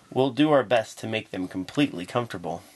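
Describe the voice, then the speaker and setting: Putting on a character voice, a man speaks at a very fast pace and medium pitch with lively intonation. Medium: read story.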